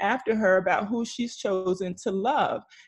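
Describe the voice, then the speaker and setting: Somewhat breathy, animated speech from a woman at medium pitch and a fairly slow pace. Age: 40s. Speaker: single moms coach and author. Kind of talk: casual chat.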